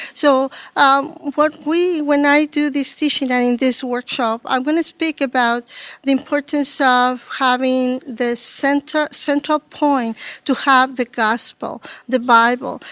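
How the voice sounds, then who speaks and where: A woman with a Spanish accent speaks slowly-ish in a high pitch, her intonation fairly even. The recording is very clean and dry, with a close sound, no echo and a silent background. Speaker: ministry leader and workshop speaker. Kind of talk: interview. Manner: halting.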